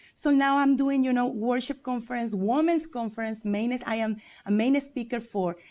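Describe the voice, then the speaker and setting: A woman with a Spanish accent speaks in a dark, mellow tone at a moderate pace, with ordinary pitch variation. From Mexico. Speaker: preacher and worship leader. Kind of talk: TV interview. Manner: halting.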